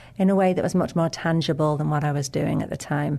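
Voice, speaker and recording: Here a woman's voice carries a dark, mellow tone with ordinary pitch variation. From England, Lake District. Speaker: nonprofit chief executive. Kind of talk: interview.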